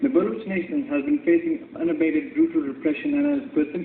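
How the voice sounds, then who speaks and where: Amid noticeable background noise, a man talks at a fairly quick pace in an extremely high pitch with very wide pitch swings. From Balochistan. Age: young. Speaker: human rights activist. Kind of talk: formal speech at a UN forum. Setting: conference hall.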